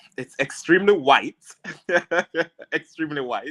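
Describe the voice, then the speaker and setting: The speaker is a man. He talks with a strong Jamaican accent. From rural Jamaica. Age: 30s. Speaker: immigration and criminal lawyer. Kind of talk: interview on live stream.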